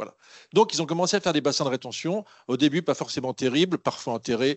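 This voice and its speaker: The man's fairly high voice races along at a very fast pace, its pitch varying in an ordinary way. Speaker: water management consultant. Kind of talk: conference presentation. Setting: conference room with audience. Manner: standing while speaking.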